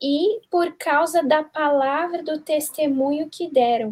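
This woman's voice shows ordinary pitch variation. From southern Brazil. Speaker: youth Bible study guest. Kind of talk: Bible study discussion.

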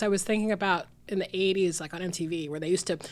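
A woman talks at a very fast pace with an American accent. Her tone is animated. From US South, Georgia. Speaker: film programmer. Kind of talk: casual chat.

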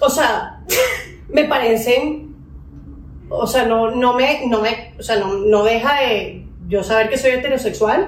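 A woman's high voice moves very slowly at very even loudness with ordinary pitch variation, amid audible room echo and noticeable background noise. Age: 30s. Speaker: dentist and singer. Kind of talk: casual chat.

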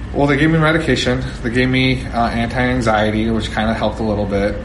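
A man with an American accent speaks fairly quickly, with audible room echo and noticeable background noise in the recording. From New Jersey. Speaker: retired football player. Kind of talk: interview. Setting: side room before a speech.

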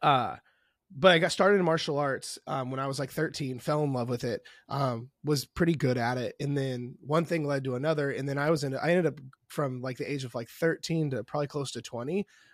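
On a very clean recording with a silent background, a man with a US Midwestern accent speaks at a moderate pace, with a fairly high pitch and fairly even intonation. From Indianapolis, US Midwest. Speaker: online fitness coach. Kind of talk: casual interview chat.

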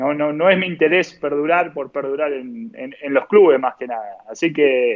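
Using a plain, everyday voice, a man with fairly high pitch talks at a moderate pace, his intonation lively and his loudness swinging widely. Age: 30s. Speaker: professional footballer. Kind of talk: interview.

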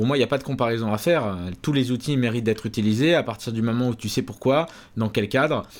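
A man at medium pitch, very fast, with ordinary pitch variation, on a very clean recording with a silent background. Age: 20s. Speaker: YouTube programming educator. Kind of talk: interview.

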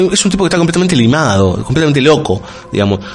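A man speaks with a Rioplatense accent. Noticeable background noise runs behind him. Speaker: radio host. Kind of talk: casual chat.

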